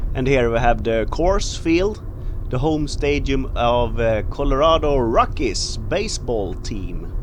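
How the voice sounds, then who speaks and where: A man's fairly high pitch and lively intonation at a very slow pace, amid audible room echo and noticeable background noise. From Sweden. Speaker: travel vlogger. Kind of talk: travel vlog narration. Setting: outdoors.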